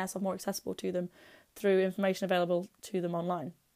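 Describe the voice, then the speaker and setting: A woman with an East Midlands accent, a dark, mellow tone and a very fast pace, on a very clean recording with a silent background. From England, Derby (East Midlands). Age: 20s. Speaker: airsoft blogger and podcaster. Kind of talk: personal storytelling podcast monologue.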